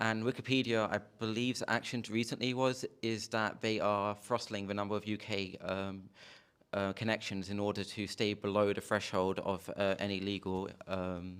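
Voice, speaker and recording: A man with a British accent and fairly low pitch, fairly even intonation, moderate pace, in a very clean recording with a silent background. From United Kingdom. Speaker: audience member asking a question. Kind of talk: conference Q&A question. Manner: halting, many fillers.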